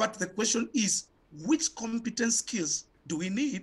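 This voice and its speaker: The intonation here is lively. It belongs to a man. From Kenya. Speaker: education activist; guest. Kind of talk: panel discussion. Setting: video call. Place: home room. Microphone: video call.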